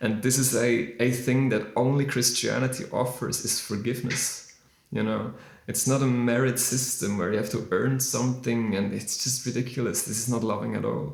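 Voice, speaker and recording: A man with a non-native accent at a medium pitch and moderate pace, fairly even intonation, audible room echo and noticeable background noise. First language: not English. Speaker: musician discussing faith. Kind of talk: casual monologue on faith. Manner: halting, many fillers.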